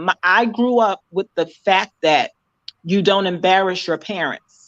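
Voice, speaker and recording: A woman's medium-pitched voice, dry and close with no echo, against a quiet background. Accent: American. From New York. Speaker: podcast guest. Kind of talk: casual chat.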